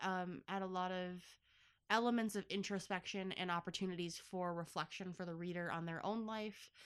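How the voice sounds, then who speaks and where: Bright, sharp and animated tone from a woman at medium pitch and fairly slow pace, on a very clean recording with a silent background. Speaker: podcast host. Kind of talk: casual chat. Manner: talkative, animated, joking.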